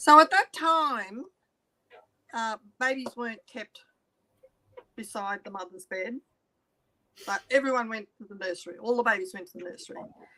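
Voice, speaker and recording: A woman with an Australian accent talks at a moderate pace with long, frequent pauses, her fairly high voice bright and sharp in a dry, close sound with no echo. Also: lively intonation, big swings in loudness. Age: 70s. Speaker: interviewee telling life story. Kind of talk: testimony.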